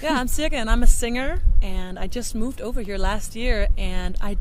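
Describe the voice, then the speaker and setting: Speaking at a moderate pace with a strong Danish accent, a woman is heard with audible room echo. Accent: thick Danish. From Denmark. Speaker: singer and vocal coach. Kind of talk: casual interview chat. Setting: outdoors in a park. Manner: halting, self-interrupting.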